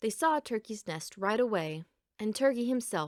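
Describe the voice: Lively intonation in plain reading aloud, with a quiet background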